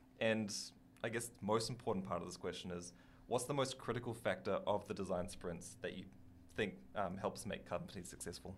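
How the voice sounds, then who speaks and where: A man talks at a fairly quick pace in an unremarkable speaking voice that is fairly low in pitch, with ordinary pitch variation. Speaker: podcast co-host. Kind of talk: casual interview.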